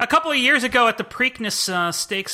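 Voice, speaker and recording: Projecting a raised voice with a bright, sharp tone, a man speaks at a moderate pace with very wide pitch swings. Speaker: old-movie expert. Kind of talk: casual chat.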